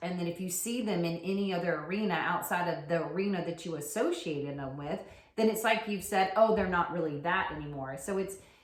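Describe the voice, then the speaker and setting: At a fairly quick pace, a woman speaks in a fairly low pitch with ordinary variation. Audible room echo and noticeable background noise surround her voice. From US South, rural. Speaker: podcast co-host, yoga teacher. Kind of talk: casual chat.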